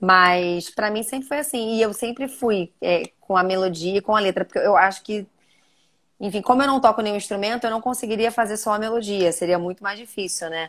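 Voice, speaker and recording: The speaker has an unremarkable speaking voice with ordinary pitch variation. The pace is fairly quick. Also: woman, medium pitch for a woman. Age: 30s. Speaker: journalist and TV presenter. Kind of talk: interview conversation. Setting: live video stream. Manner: casual, many fillers.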